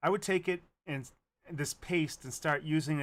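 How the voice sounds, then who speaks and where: Fairly high pitch from a man, with ordinary pitch variation and a moderate pace, in a very clean recording with a silent background. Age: 60s. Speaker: trading educator streamer. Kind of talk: live stream talk. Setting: live stream. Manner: casual with fillers.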